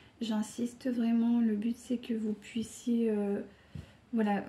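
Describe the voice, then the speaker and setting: In a calm tone, a woman with a fairly high pitch and a dark, mellow tone speaks with monotone, flat intonation. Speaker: tarot card reader. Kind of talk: tarot reading video monologue. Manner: hesitant, many fillers.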